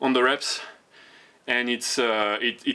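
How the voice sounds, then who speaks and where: A man with a French accent at a very slow pace, medium in pitch with a bright, sharp tone. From France. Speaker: fitness vlogger. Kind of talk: casual vlog talk. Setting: outdoor home gym. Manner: halting, many repetitions and fillers.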